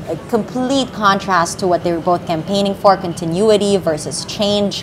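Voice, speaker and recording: A woman speaks at a moderate pace with fairly even intonation. Background noise is noticeable. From Philippines. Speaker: news anchor. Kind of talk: live election-night news coverage. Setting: studio. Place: studio. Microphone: lapel.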